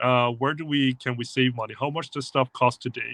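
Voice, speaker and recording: At a medium pitch, the man delivers his words at a fairly quick pace. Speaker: tech company presenter. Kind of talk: livestream talk. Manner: fast.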